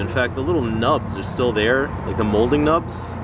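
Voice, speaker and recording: A man at a moderate pace with ordinary pitch variation, in dry sound with no echo and noticeable background noise. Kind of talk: casual show-and-tell commentary. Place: street. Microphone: phone near.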